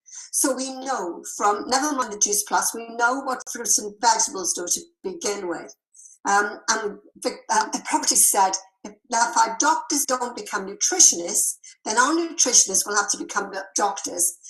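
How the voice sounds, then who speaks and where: A woman with an English accent, fairly high in pitch, lively intonation, moderate pace, and big swings in loudness. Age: 70s. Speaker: health product seller. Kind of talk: sales presentation.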